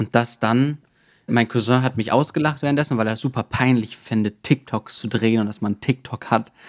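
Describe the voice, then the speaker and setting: A man with a plain, everyday voice speaks at medium pitch and a moderate pace, with fairly even intonation and a dry, close sound with no echo. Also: very clean recording, silent background. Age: 20s. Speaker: self-publisher and IT consultant. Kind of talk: casual interview.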